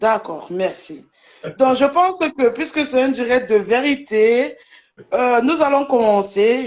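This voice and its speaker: At a very slow pace, a woman talks in a high pitch with lively intonation. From Germany. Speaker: social media personality. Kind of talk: live debate.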